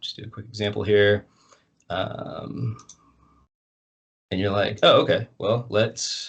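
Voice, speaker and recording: A quiet background behind a man speaking. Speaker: college instructor. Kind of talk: online class Q&A session. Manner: fast.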